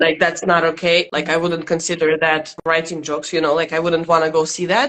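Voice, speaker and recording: The speaker talks at a fairly quick pace. The voice comes with a Russian accent. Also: woman. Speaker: stand-up comedian. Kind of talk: interview.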